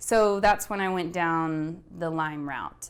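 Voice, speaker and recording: This woman has a fairly low pitch and speaks with an American accent. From West Texas (Midland). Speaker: health practitioner. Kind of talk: personal testimony interview. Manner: hesitant, many fillers.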